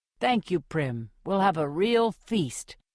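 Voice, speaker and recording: Someone performs a put-on character voice at a middle pitch. The delivery is fairly slow. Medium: read story.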